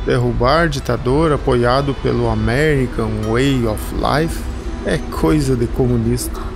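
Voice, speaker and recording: With music in the background, a man speaks at a fairly slow pace at very even loudness. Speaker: voice actor. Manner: ironic, sarcastic.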